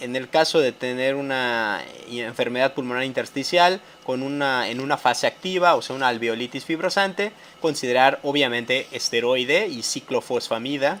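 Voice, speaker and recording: With ordinary pitch variation, a man talks at a medium pitch. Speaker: medical educator. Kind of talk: lecture. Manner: fast; halting.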